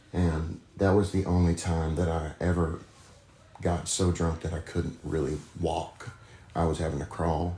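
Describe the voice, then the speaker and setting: With an American accent, a man speaks at a very deep, low pitch and a fairly slow pace, somewhat breathy, in a dark, mellow tone with monotone, flat intonation. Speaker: recovering addict. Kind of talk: interview testimony.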